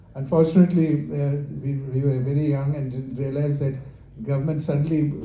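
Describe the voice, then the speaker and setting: Audible room echo surrounds a man speaking at a fairly high pitch and fairly quick pace in a monotone, flat intonation. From India, Kerala. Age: 70s. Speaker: company founder. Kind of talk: talk with Q&A. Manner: halting.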